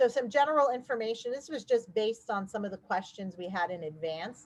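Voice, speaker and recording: Speaking at a fairly quick pace, a woman uses a plain, everyday voice with ordinary pitch variation. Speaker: housing agency staff presenter. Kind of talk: webinar presentation. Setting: online webinar.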